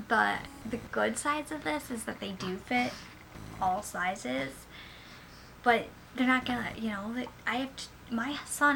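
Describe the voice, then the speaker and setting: A woman's fairly high voice, lively in intonation and moderate in pace, over noticeable background noise. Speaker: parent vlogger. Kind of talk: product review vlog. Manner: casual, filler-heavy.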